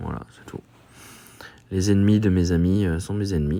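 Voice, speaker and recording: The pace here is moderate. Intonation stays fairly even. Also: man. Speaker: gaming YouTuber. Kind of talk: gameplay commentary. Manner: hesitant, many filler sounds.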